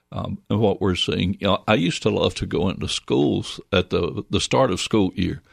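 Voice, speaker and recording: In a very clean recording with a silent background and a dry, close sound with no echo, a man with an American accent speaks at a moderate pace with hardly any pauses, his very deep, low voice carrying vocal fry. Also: ordinary pitch variation. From US South, Northwest Georgia. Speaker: licensed mental health counselor. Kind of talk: interview. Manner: halting.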